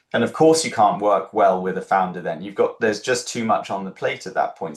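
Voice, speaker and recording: A man with a British accent. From UK. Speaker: startup founder and incubator co-founder. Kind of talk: interview. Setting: livestream.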